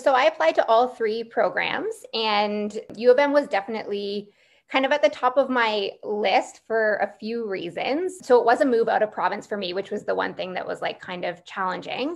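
A woman with a normal speaking voice talks at a fairly high pitch with a Canadian accent. Her intonation is lively, with hardly any pauses. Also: moderate pace. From Ontario, near Niagara Falls; Ontario. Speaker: physician assistant student. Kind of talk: Q&A panel answers. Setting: live online Q&A. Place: home room. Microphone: video call.

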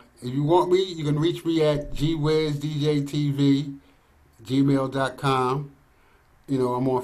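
A man speaks at a very slow pace with a fairly high pitch. His intonation is monotone and flat. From Philadelphia. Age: 60s. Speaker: DJ. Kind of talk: casual interview. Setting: video call. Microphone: video call.

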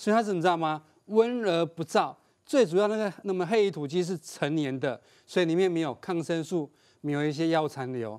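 A man speaks at a fairly quick pace with lively intonation and a high pitch. The background is quiet. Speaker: agriculture expert guest; guest. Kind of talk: cooking demonstration. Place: studio. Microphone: lapel.

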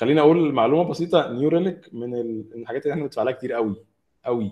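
A man speaks very fast in a fairly high voice, his pitch moving up and down in an ordinary way. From Egypt. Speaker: mobile app developer; speaker. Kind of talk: technical talk. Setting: video call. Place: home room. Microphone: video call.

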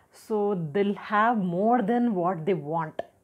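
This woman speaks with an Indian accent. Her pitch is medium. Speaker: health and personality development educator; personality development educator. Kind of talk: tutorial talk to camera. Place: home room.

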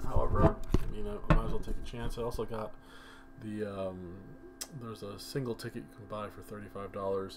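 A quiet man with a fairly low pitch talks at a moderate pace over background music, with fairly even intonation, audible room echo, big swings in loudness and long, frequent pauses. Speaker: mobile game youtuber. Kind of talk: gaming commentary. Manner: kept quiet.

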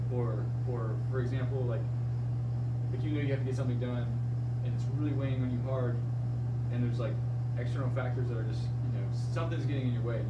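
Amid loud background noise, a man talks at a very fast pace. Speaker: fitness coach. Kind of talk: casual podcast-style discussion. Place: office. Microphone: camera far.

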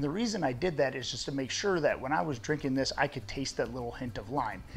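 A man talks at a fairly quick pace while music sounds faintly behind him. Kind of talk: tutorial. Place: garage.

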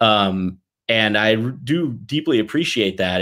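A man with an American accent and a fairly low pitch speaks against a quiet background. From US South (Mississippi, Tennessee). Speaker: toy company executive; guest. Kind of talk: podcast interview. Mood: warm, grateful.

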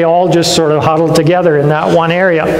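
A man's high-pitched voice in a Canadian accent, with audible room echo and light background noise. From western Canada. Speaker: pastor. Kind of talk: sermon. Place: church.

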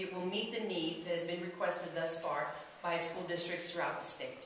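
In a room with strong echo and light background noise, a woman speaks at a moderate pace and a fairly low pitch. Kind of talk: press conference statement. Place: classroom.

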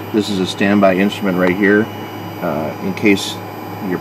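A man with a fairly low pitch talks at a fairly quick pace, the sound dry with no echo and noticeable background noise behind him. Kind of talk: tutorial. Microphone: phone near.

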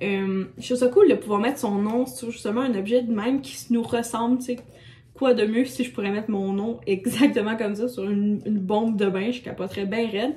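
A woman's fairly high voice in a Quebec accent, fairly quick in pace, with ordinary pitch variation. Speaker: lifestyle vlogger. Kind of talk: casual vlog talk to camera. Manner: hesitant, many fillers. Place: home room. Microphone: phone near.

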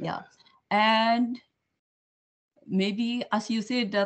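A woman's voice with a Filipino accent. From Philippines. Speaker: student, restaurant personal assistant. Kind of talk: casual chat. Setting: video call. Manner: cheerful. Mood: friendly, upbeat. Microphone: video call.

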